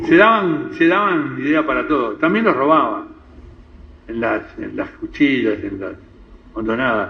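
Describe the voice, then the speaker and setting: A man talks at a fairly slow pace, with long, frequent pauses and big swings in loudness. Noticeable background noise runs underneath. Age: 80s+. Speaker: community elder of Lebanese descent. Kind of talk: interview talk, reminiscing. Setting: radio program. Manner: halting, with repetitions.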